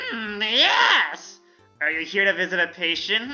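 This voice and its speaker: A put-on character voice at a middle pitch moves at a fairly slow pace over faint music in the background. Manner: creepy.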